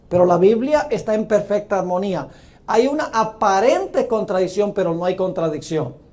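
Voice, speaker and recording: In a room with audible echo, a man speaks at a high pitch. His intonation is lively and his pace moderate. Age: 60s. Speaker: pastor. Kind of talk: sermon.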